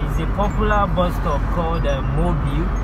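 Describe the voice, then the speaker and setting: The speaker talks at a moderate speed. Music can be heard behind the voice. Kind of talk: casual vlog commentary. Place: car. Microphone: phone near.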